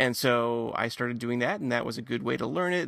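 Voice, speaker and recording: A man with an American accent talks at a fairly quick pace. His medium-pitched voice is an unremarkable speaking voice. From Michigan, later North Carolina. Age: 40s. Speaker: podcast co-host, documentary filmmaker. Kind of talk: casual chat.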